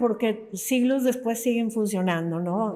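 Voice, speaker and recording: Her dark, mellow tone carries a fairly high pitch for a woman and lively intonation. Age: 60s. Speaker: novelist. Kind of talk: interview conversation.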